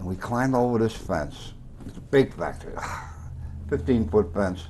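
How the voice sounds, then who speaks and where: At a moderate pace, a man speaks in a fairly low pitch with lively intonation and big swings in loudness. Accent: Bronx. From New York, the Bronx. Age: 80s+. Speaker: former cab driver and storyteller. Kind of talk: tv interview. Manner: animated.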